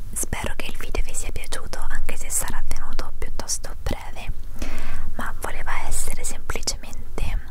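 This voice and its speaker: A soft-spoken woman whispers at a moderate pace. The sound is dry with no echo, but loud background noise is present. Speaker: vlogger. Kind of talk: casual vlog chat. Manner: soft close-mic whisper. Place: home room. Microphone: handheld.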